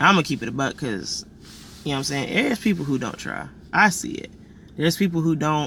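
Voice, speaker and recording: The voice has a bright, sharp tone with vocal fry and lively intonation. It moves at a very fast pace, broken by long, frequent pauses. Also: man. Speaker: vlogger. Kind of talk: personal vlog monologue. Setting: indoors, warm room. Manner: animated.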